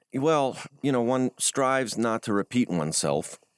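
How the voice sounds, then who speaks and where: With an American accent and lively intonation, a man comes through on a very clean recording with a silent background and a dry, close sound with no echo. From US Midwest. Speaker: journalist. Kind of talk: interview. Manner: hesitant, many fillers.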